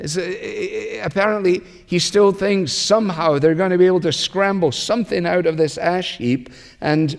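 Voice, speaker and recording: A man with a Scottish accent, ordinary pitch variation, and a moderate pace. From Scotland. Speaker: pastor. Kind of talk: sermon.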